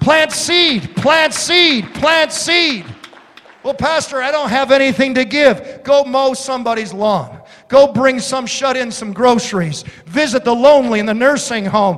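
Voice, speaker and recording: An animated man with an American accent, extremely high-pitched for a man, at a fairly slow pace with ordinary pitch variation and noticeable background noise. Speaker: pastor. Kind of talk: sermon. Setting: church. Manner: animated, exhorting, repetitive; humorous storytelling.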